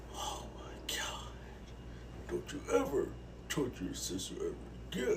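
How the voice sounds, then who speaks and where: A raspy, cartoonish character voice at a moderate pace, with long, frequent pauses over light background noise. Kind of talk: comedy puppet skit. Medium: puppet. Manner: stern, exasperated.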